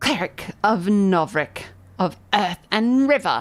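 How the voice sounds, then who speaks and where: Using a shrill, put-on character voice, a woman speaks at a fairly slow pace and medium pitch. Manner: smirking, threatening.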